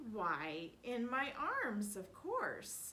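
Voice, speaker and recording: A woman puts on a character voice at a fairly high pitch. Background noise is clearly present. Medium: read story.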